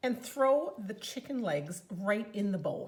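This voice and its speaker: The speaker has a Newfoundland accent and an enthusiastic tone. The intonation is lively and the pace fairly slow. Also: woman. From Newfoundland, Canada. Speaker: home cooking demonstrator and product consultant; home cooking demonstrator. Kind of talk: cooking tutorial. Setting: home kitchen. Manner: chatty, enthusiastic. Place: kitchen.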